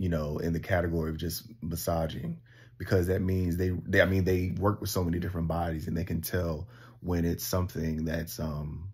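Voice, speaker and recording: A somewhat breathy man with a very deep, low pitch, fairly even intonation and a fairly quick pace. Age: 30s. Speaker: vlogger. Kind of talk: personal vlog monologue. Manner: hesitant, many fillers.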